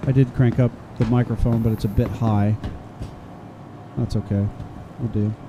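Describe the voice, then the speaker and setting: A soft-spoken man at medium pitch talks at a moderate pace in a monotone, flat way, with long, frequent pauses. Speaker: gaming streamer. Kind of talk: casual livestream commentary. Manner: soft-spoken, calm.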